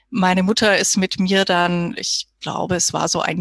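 A woman with a plain, everyday voice speaks fairly slowly at a medium pitch, the sound dry and close with no echo. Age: 30s. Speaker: physiotherapist. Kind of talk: interview.

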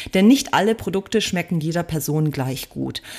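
A woman with an unremarkable speaking voice talks at a fairly quick pace using lively intonation. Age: 40s. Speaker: vegan food blogger and cookbook author. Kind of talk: interview.

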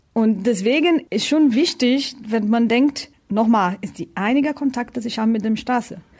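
A woman with a Portuguese accent speaks at a moderate pace in a fairly high pitch, with ordinary pitch variation. The recording is very clean, with a silent background. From Brazil. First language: Portuguese (speaking German). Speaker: tire test driver. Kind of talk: interview.

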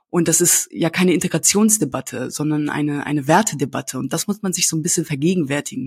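A woman speaks very fast in a very deep, low register. Her voice is somewhat breathy, with ordinary pitch variation. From Germany. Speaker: values ambassador visiting schools. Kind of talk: interview. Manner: halting, many repetitions and fillers.

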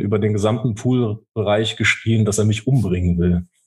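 A man's somewhat breathy voice at a medium pitch with fairly even intonation. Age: 30s. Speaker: soldier. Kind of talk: casual interview. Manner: halting.

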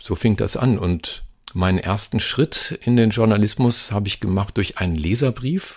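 A man talks at a moderate pace with a fairly low pitch. His voice is somewhat breathy, with ordinary pitch variation. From Germany, Lower Saxony (Hameln area). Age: 50s. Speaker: radio host and journalist. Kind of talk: interview. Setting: video call.

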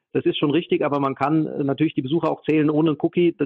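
A man with a slight Hessian accent, very fast, fairly high in pitch, and monotone with flat intonation. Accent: slight Hessian dialect, barely noticeable. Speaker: data protection expert. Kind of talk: interview. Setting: remote call.

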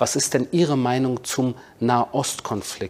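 Fairly even intonation from a man with a normal speaking voice at a medium pitch. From Berlin, Germany. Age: 40s. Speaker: author and military spokesman. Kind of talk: interview.

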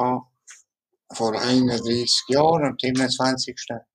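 In a monotone, flat delivery, a man talks at a medium pitch. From Ticino, Switzerland. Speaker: mouth painter, tetraplegic artist. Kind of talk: interview. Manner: halting.

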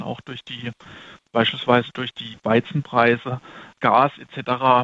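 A man speaks at a fairly slow pace. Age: 30s. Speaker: fund manager. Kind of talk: interview. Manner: halting.

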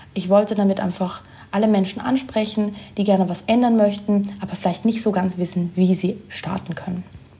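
Amid noticeable background noise, a woman talks at a moderate pace and medium pitch with fairly even intonation. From Germany. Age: 20s. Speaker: sustainability blogger and influencer. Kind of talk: casual interview.

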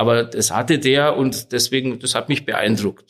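An unremarkable speaking voice with fairly even intonation moves at a moderate pace. The recording is very clean, with a silent background. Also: man. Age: 50s. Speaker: lawyer. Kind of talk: interview.

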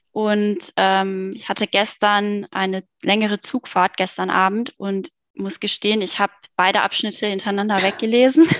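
A woman with an unremarkable speaking voice at a moderate pace, in a dry, close sound with no echo and a quiet background. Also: medium pitch for a woman, big swings in loudness. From Germany, Cologne. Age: 30s. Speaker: online marketing worker, book club member. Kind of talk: casual interview chat.

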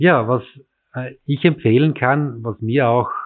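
This man's delivery is fairly slow, and his pitch varies in an ordinary way. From rural Styria, Austria (near Graz). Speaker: city cycling official. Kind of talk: interview.

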